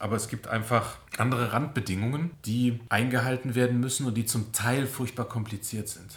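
This man has an ordinary speaking voice at medium pitch and talks at a moderate pace with fairly even intonation and hardly any pauses. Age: 40s. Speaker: civil engineer in city administration. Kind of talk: interview.

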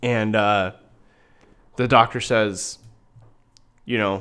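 The speaker moves at a moderate pace with a Midwestern American accent. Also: man. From Iowa, US Midwest. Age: 30s. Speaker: podcast host. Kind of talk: casual chat.

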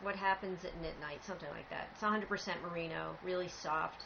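Through noticeable background noise, a woman speaks at a fairly low pitch with ordinary pitch variation. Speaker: podcast host, knitter. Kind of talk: casual chat. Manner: soft-spoken.

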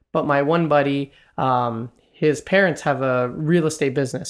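Recorded very cleanly against a silent background, a man with a fairly high pitch and an ordinary speaking voice talks with fairly even intonation. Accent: Canadian. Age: 20s. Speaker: real estate investor and commercial banker. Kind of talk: interview conversation.

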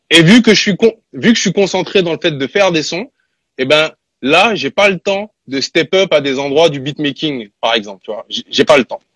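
A man talks in a normal speaking voice at a moderate pace, his pitch fairly high and his intonation lively. The sound is dry and close with no echo. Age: 30s. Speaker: rapper and music producer. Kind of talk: casual interview.

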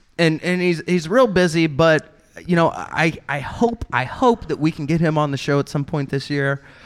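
A man's ordinary speaking voice with ordinary pitch variation. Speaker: comedy podcast co-host. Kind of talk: comedic fantasy football banter.

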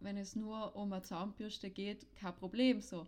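Using an ordinary speaking voice, a woman talks at a moderate pace with a fairly high pitch and fairly even intonation. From South Tyrol. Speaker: podcast co-host, sex educator. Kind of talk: casual chat.

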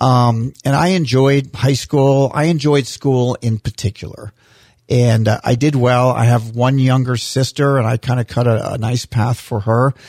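In a dry, close sound with no echo, a man speaks at a fairly slow pace, somewhat breathy, with fairly even intonation and very even loudness. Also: medium pitch for a man. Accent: American. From US Florida. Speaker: mayor. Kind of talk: casual interview chat. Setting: studio.

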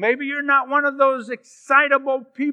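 A man speaks with an extremely high pitch and a bright, sharp tone, his raised, projected voice moving at a fairly slow pace in a dry, close sound with no echo. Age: 70s. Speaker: guest preacher. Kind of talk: sermon. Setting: church.

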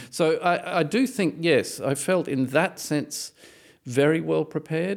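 In a very clean recording with a silent background, a man speaks with an Australian accent. His intonation is lively, and there is vocal fry. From Australia, Brisbane. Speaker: composer and violist. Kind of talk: interview. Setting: studio.

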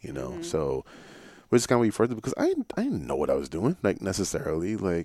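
With a New York accent, a man speaks very fast in a fairly low, dark, mellow voice with vocal fry and very wide pitch swings. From Ghana and Brooklyn, New York. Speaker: writer. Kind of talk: casual interview. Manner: animated.

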